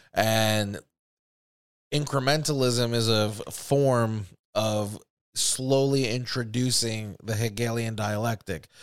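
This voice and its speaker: At a very slow pace, a man speaks with medium pitch and fairly even intonation. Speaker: podcast host. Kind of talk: angry rant about government and false flags. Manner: heated, profane, indignant.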